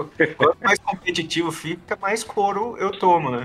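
Music plays in the background as a man talks with lively intonation. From southern Brazil (Paraná). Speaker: game creator and podcast guest. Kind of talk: casual chat.

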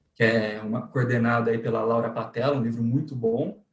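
A somewhat breathy man at a fairly quick pace. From interior of São Paulo state, Brazil. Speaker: lawyer. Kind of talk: interview. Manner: hesitant, frequent repetitions.

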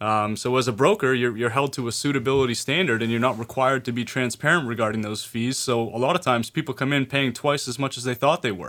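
With hardly any pauses, a man rushes along at a very fast pace, his pitch varying in an ordinary way. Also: medium pitch for a man. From Maine. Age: young. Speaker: financial advisor. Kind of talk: radio talk show chat. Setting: studio.

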